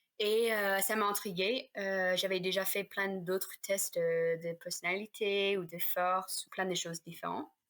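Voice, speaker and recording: A woman's medium-pitched voice with a slight North American accent, fairly slow pace, fairly even intonation and hardly any pauses, on a very clean recording with a silent background. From Canada / United States. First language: English (speaking French). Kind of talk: casual podcast interview.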